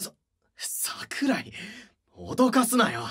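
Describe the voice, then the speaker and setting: In a put-on character voice, the speaker sounds gruff, with fairly high pitch and a very slow pace. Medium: audio drama. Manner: gruff, rough-spoken, blunt.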